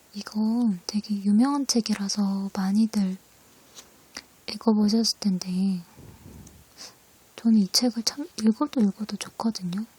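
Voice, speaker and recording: A soft-spoken voice at a very slow pace, broken by long, frequent pauses, over noticeable background noise. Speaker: ASMR creator. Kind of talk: casual talk to camera.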